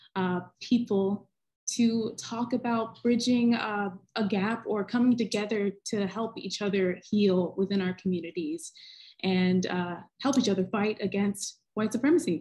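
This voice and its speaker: Against a quiet background, a woman speaks at a fairly slow pace, somewhat breathy, with ordinary pitch variation. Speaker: panel moderator. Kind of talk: panel introduction. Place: home room. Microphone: video call.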